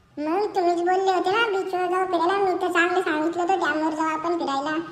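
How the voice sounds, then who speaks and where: An extremely high-pitched cartoonish character voice talks at a fairly quick pace. Background noise is clearly heard. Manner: deferential, calls friend "bhau".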